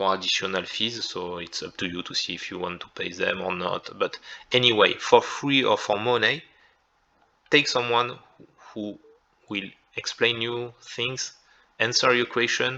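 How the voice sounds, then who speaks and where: A man with a French accent, medium pitch and ordinary pitch variation, a bright, sharp tone, big swings in loudness, a fairly slow pace and long, frequent pauses. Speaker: content creator. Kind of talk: tutorial. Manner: halting.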